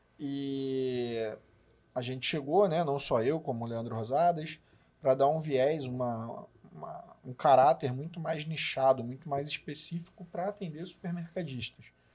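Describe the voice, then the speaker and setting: In a Rio de Janeiro accent, a man with a fairly high pitch speaks at a fairly slow pace. His loudness swings widely while his pitch varies in an ordinary way. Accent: Carioca Brazilian Portuguese. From Rio de Janeiro, Brazil. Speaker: business partner, supermarket consultant. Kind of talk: podcast conversation.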